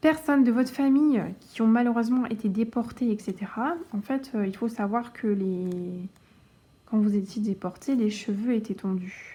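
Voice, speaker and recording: A woman speaks at a fairly slow pace and fairly high pitch, somewhat breathy, with a dark, mellow tone and ordinary pitch variation. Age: 20s. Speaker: cross-stitch youtuber. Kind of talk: casual chat. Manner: halting.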